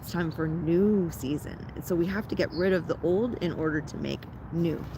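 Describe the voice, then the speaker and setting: Speaking at a fairly slow pace with a Canadian accent, a woman sounds animated over noticeable background noise. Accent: Canadian, often taken for American. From Ontario, Canada. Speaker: spiritual content creator. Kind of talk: guided ritual talk. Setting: outdoors in a park. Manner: casual, animated.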